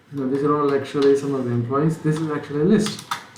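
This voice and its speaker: A man with a fairly high pitch speaks in fairly even intonation. Audible room echo and noticeable background noise surround him. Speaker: programming instructor. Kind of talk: tutorial. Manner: hesitant, many fillers; slurred speech.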